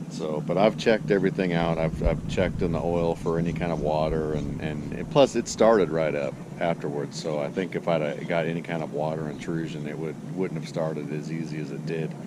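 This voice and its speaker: Hardly pausing, a man speaks in a very deep, low voice with fairly even intonation. Noticeable background noise sits behind him. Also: fairly quick pace. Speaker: boating vlogger. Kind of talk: casual vlog. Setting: outdoors at a lake. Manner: halting, many fillers.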